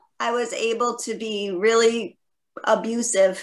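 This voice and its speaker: A woman speaks at a fairly slow pace in a plain, everyday voice. Her pitch is fairly high. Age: 60s. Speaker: chat panelist. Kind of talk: casual group video chat.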